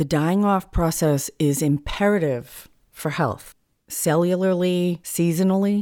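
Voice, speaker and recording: A woman's dark, mellow voice in an American accent, fairly low in pitch with ordinary variation, at a fairly slow pace and very even loudness, in a very clean recording with a silent background. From US New England. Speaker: therapist and spiritual healer, podcast host. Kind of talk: solo teaching talk.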